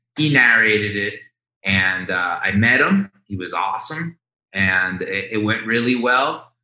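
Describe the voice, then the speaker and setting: Pitch variation here is ordinary, in a normal speaking voice. The pace is fairly slow. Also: man, medium pitch for a man. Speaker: documentary filmmaker. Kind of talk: casual interview chat.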